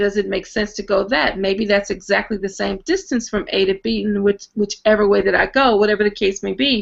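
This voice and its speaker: With vocal fry, a woman talks with hardly any pauses. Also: medium pitch for a woman, fairly quick pace. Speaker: math teacher presenter. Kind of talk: online presentation. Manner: fast; animated.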